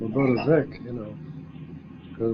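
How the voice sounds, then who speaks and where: A man with an Ohio accent speaks at a medium pitch. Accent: Midwestern American (Ohio). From northeast Ohio. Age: 70s. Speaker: war veteran. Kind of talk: oral history interview. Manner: halting.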